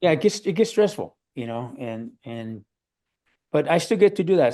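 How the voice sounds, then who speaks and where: Speaking in a dark, mellow tone, a man has an American accent. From Los Angeles, San Fernando Valley. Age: 60s. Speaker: drummer. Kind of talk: interview, casual chat. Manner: casual, hesitant with repetitions.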